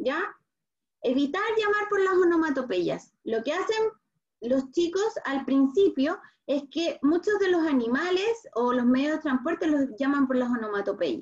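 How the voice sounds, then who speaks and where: With a Chilean accent, a woman speaks at a high pitch and a fairly slow pace. Her pitch swings very widely. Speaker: speech therapist. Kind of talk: online talk for parents.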